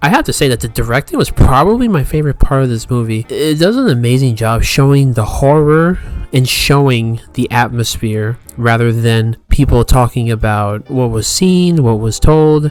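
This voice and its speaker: Over noticeable background noise, a man talks at a moderate pace with ordinary pitch variation and hardly any pauses. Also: medium pitch for a man. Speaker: movie reviewer. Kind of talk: casual review.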